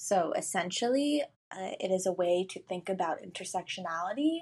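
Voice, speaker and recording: A woman with an American accent talks at a moderate pace with lively intonation in a plain, everyday voice over a quiet background. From Brooklyn, New York. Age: young. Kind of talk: recorded voice message.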